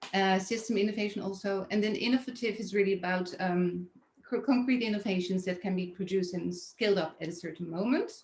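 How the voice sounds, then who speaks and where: At a fairly quick pace, a woman talks in a somewhat breathy voice with fairly even intonation. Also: medium pitch for a woman. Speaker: design event curator. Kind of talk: webinar presentation. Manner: halting, many fillers.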